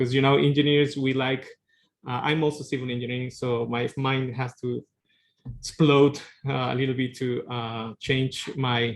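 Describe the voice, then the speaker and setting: In a Spanish accent, a man speaks with flat, monotone intonation. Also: medium pitch for a man, moderate pace. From Peru. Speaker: tsunami engineering researcher. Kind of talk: lecture.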